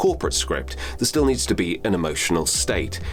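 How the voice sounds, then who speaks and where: Music in the background behind a man's calm voice, lively in intonation and fairly quick in pace. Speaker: voice actor and voiceover coach. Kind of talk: instructional talk to camera. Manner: calm, measured, explanatory.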